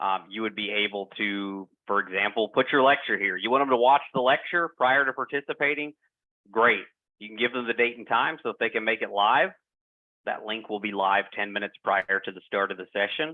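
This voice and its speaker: At a fairly quick pace, a man with a strong Southern US accent speaks at a medium pitch with ordinary pitch variation and big swings in loudness. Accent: heavy Southern US. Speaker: product presenter. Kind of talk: software demo presentation. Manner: hesitant, many fillers.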